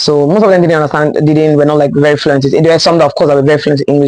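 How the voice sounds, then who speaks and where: Her voice is very deep and low for a woman. She speaks in an animated tone. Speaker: lifestyle vlogger. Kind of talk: casual storytime vlog. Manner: fast.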